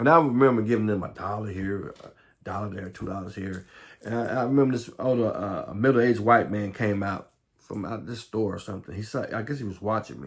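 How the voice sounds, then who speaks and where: In an American accent, a man talks at a fairly quick pace with a fairly low pitch. His loudness swings widely. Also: ordinary pitch variation. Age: 50s. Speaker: recovery vlogger. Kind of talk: testimony. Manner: fast; halting, repetitive.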